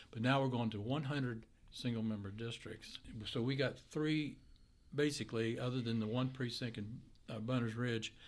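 This man has an Appalachian accent and a medium pitch. He talks at a moderate pace with fairly even intonation. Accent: West Virginia (Appalachian) American. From West Virginia, Grafton. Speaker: state legislator, retired. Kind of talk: casual interview. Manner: halting.

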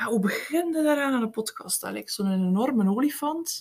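A high-pitched woman at a moderate pace, with very wide pitch swings. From Belgium, East Flanders (Eeklo, Meetjesland). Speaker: podcast co-host, writing coach. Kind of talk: casual chat.

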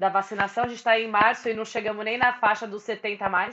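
At a moderate pace, a woman speaks in an ordinary speaking voice with fairly high pitch. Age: 20s. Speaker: podcast host. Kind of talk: casual chat.

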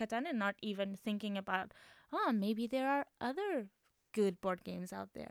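With a Portuguese accent, a woman talks at a moderate pace with ordinary pitch variation, in a dry, close sound with no echo. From Portugal. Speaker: board game association founder. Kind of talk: casual chat. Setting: studio. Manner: halting.

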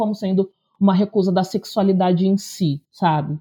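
A woman is speaking. Her pace is moderate. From interior of São Paulo state, Brazil. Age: 30s. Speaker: teacher and content creator. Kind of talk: casual chat.

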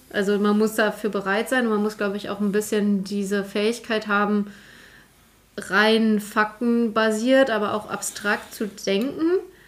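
Noticeable background noise sits behind a woman speaking fairly slowly at a fairly high pitch with monotone, flat intonation. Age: 20s. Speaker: IT consultant, career changer. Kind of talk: casual chat.

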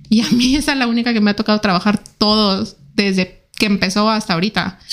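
This woman speaks quietly with fairly even intonation. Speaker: ballistics expert. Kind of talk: interview. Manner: fast and quiet.

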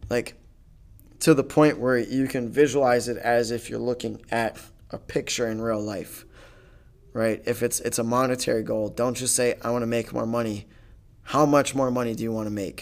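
A man with an American accent speaks in a normal speaking voice at a moderate pace, his medium pitch carried with fairly even intonation. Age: 20s. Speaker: podcast host. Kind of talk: solo monologue, casual storytelling.

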